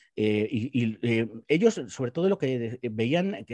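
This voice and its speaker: Very wide pitch swings in a man's dark, mellow tone, with a quiet background. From Spain, Guadalajara; Spain. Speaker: political commentator. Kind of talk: panel discussion. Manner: halting, many repetitions. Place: home room. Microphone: video call.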